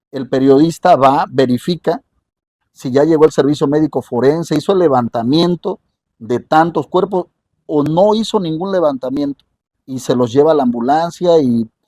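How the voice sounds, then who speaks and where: Recorded dry and close with no echo, the voice has a dark, mellow tone. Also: man, fairly high pitch for a man, ordinary pitch variation, moderate pace. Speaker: radio journalist. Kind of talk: interview.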